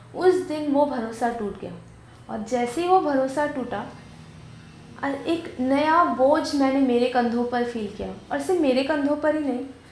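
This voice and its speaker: Room echo is audible as a woman with a high pitch speaks with ordinary pitch variation. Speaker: video host and interviewer. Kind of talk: scripted narration.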